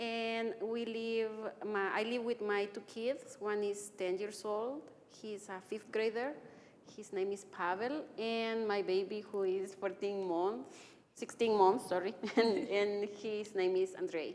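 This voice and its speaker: A woman talks very slowly at a medium pitch with ordinary pitch variation. Room echo is audible. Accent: Salvadoran. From El Salvador. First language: Spanish. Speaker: physician and anti-racism trainer. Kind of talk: interview. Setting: church live stream.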